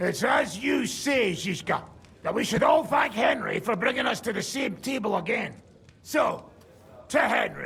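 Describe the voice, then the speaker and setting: A man's gruff, put-on character voice at an extremely high pitch, with lively intonation and a moderate pace. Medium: video game. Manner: gruff, sardonic.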